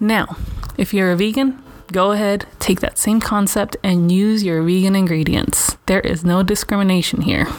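An American accent comes through at a moderate pace with very even loudness. Noticeable background noise sits behind the voice. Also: woman, medium pitch for a woman. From Los Angeles (Venice), California. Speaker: vlogger. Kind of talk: casual monologue. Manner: animated.

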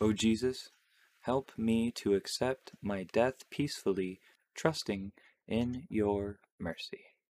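Very slow and solemn, a man speaks at medium pitch with ordinary pitch variation. The recording is very clean with a silent background and a dry, close sound with no echo. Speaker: podcast host. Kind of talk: fervent prayer, reverent devotional reading of the Stations of the Cross. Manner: slow, solemn, reverent; casual, chatty, laughs.

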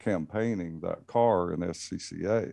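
With a Southern US accent, a man talks at a very slow pace in a very deep, low pitch, his tone dark and mellow against a quiet background. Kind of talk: casual chat.

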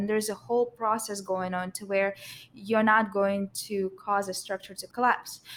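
At a moderate pace, a woman talks in a flat monotone at a medium pitch. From Russia. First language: Russian. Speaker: structural engineer. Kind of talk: casual panel conversation.

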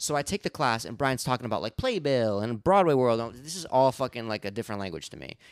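The man has an unremarkable speaking voice at a medium pitch. He talks at a fairly quick pace with lively intonation. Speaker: podcast co-host. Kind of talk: casual chat. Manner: joking, playful.

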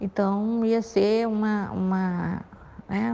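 This woman's voice carries ordinary pitch variation. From Piauí, Brazil. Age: 50s. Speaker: nun and social worker. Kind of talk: interview. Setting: recorded audio message.

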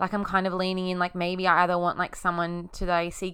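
A woman's medium-pitched voice, bright and sharp in tone, at a fairly quick pace. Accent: Australian. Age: 20s. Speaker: podcast host. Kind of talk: casual monologue.

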